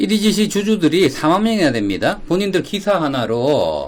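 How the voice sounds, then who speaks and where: Speaking at a moderate pace, a man swings very widely in pitch. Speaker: stock investment YouTuber, financial advisor. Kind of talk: casual solo stock analysis broadcast.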